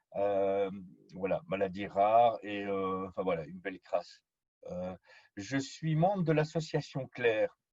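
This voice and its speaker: Speaking at a very slow pace, the man uses lively intonation. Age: 40s. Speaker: patient trainer, chronically ill patient. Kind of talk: presentation.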